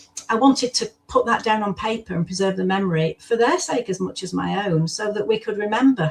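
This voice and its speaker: With a British accent, a woman of medium pitch talks at a fairly quick pace using lively intonation. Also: hardly any pauses. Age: 70s. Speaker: former foster carer and author. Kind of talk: interview conversation.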